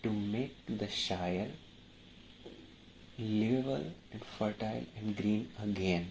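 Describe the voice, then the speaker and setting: A man talks at a very slow pace. His pitch is fairly low, with ordinary pitch variation. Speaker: YouTuber. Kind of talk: casual talk to camera. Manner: halting, stammering.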